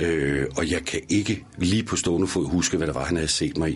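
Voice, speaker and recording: A man's very deep, low pitch with vocal fry at a moderate pace. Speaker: actor and voice actor. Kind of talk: interview. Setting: studio.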